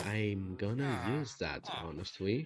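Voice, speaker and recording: A man speaks with a non-native accent at a fairly low pitch and ordinary pitch variation. Noticeable background noise is present. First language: not English. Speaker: gaming streamer. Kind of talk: casual chat. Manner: casual, filler-heavy.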